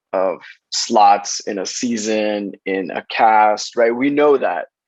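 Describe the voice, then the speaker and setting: Speaking with a Spanish accent, a man talks at a medium pitch. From Los Angeles, South Central. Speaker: casting director. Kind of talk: interview conversation.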